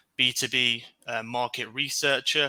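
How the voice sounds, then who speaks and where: A man with a British accent has a bright, sharp tone. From UK. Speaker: market research director, webinar guest. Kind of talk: webinar Q&A.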